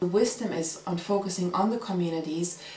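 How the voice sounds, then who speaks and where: A woman at medium pitch, with audible room echo and noticeable background noise. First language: not English. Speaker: community volunteer, mother. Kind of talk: interview testimony.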